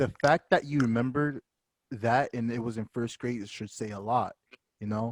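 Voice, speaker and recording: The audio is dry and close, without any echo. A man talks at a moderate speed. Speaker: podcast host. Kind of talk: casual chat. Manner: put-on altered voice.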